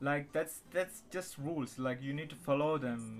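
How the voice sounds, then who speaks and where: Speaking at a moderate pace, a man with a non-native accent has a fairly high pitch and fairly even intonation. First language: not English. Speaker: channel owner chatting with strangers online. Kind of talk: casual chat. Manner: halting.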